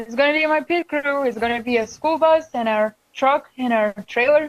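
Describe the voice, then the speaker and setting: A woman with a non-native accent, high pitch, ordinary pitch variation and a moderate pace. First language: not English. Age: 20s. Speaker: student racing driver. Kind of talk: casual chat. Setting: studio.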